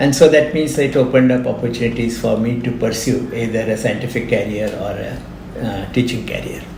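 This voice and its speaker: Fairly quickly and with hardly any pauses, a man talks with fairly even intonation. Noticeable background noise and audible room echo surround him. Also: medium pitch for a man. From India, grew up in Pilani, Rajasthan. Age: 60s. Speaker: retired engineering professor. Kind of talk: interview. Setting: podcast recording.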